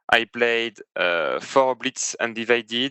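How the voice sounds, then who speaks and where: A man's voice in a French accent. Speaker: competitive tabletop game player. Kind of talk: casual chat. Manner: halting.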